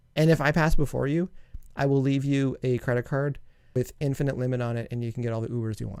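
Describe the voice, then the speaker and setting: A mumbling man with a Canadian accent, medium pitch, fairly even intonation and a very fast pace. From Canada. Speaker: music producer and song reviewer. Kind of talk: casual review commentary.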